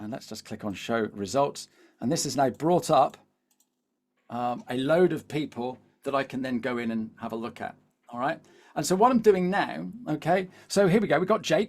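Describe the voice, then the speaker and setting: At a moderate pace, a man with a fairly high pitch speaks with very wide pitch swings and big swings in loudness. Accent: Devon. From England, Devon. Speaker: LinkedIn coach. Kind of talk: webinar presentation. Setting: live video webinar. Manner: animated, repetitive fillers.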